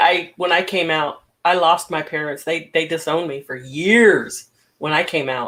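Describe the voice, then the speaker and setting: A woman with a fairly low voice talks at a moderate pace with ordinary pitch variation in a normal speaking voice. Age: 60s. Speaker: talk show host. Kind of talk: casual chat.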